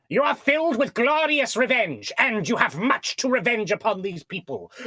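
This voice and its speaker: Put-on character voice from a man, pitched extremely high, delivered at a moderate pace. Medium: actual play. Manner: formal, earnest.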